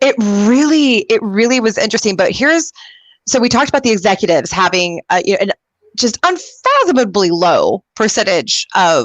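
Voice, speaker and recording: With an American accent, the speaker has an enthusiastic tone, very wide pitch swings and a fairly quick pace, in a dry, close sound with no echo. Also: woman, fairly high pitch for a woman. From Texas. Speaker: career show host. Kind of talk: talk show interview.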